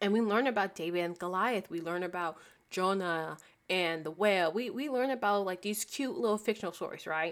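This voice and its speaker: On a very clean recording with a silent background, a woman with a normal speaking voice talks at a fairly quick pace, at medium pitch with ordinary pitch variation. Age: 20s. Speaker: podcast host. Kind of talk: solo faith podcast monologue. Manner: casual, conversational with fillers.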